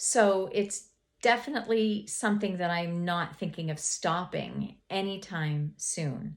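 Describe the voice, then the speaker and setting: The speaker talks at a fairly slow pace with ordinary pitch variation on a very clean recording with a silent background. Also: woman, medium pitch for a woman. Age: 60s. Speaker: lifestyle vlogger, homemaker. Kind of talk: casual vlog monologue. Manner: hesitant, many fillers and repeats.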